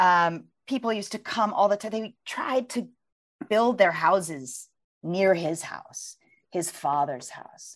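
A woman with an American accent has an ordinary speaking voice at medium pitch. She speaks at a fairly slow pace with big swings in loudness. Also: lively intonation. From US, Virginia. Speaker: author and journalist. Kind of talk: interview conversation; reading aloud from her book.

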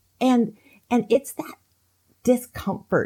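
Speaking at a very slow pace, a woman has a dark, mellow tone that is somewhat breathy. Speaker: author. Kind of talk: interview.

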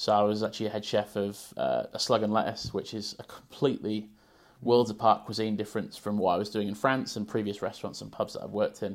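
A man's fairly low voice at a very fast pace, monotone and flat. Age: 30s. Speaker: chef and food consultant. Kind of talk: interview conversation.

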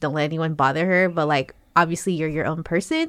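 A woman has a plain, everyday voice with a fairly low pitch and a moderate pace. The very clean recording has a silent background and a dry, close sound with no echo. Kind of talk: casual chat.

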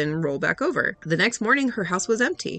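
A woman talks at a very fast pace with lively intonation. Music plays in the background. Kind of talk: ghost story reading aloud. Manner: hushed, tense, eerie first-person narration.

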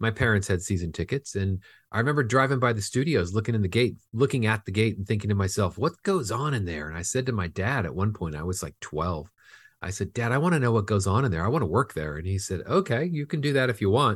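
In a Californian accent, a man speaks with a somewhat breathy, fairly low voice on a very clean recording with a silent background. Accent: General American (Californian). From Southern California. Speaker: film finance executive. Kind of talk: interview.

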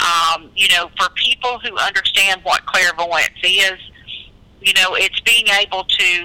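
Background noise can be noticed throughout. The talking proceeds at a fairly slow pace. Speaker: author. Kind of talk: interview.

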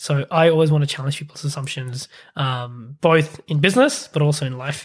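A man speaks at a fairly high pitch, somewhat breathy, with fairly even intonation. The recording is very clean, with a silent background. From Pakistan. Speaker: startup accelerator CEO. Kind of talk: interview.

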